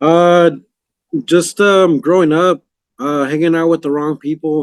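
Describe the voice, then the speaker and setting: The recording has a dry, close sound with no echo. A man speaks with fairly even intonation. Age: 30s. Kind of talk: interview testimony. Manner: halting.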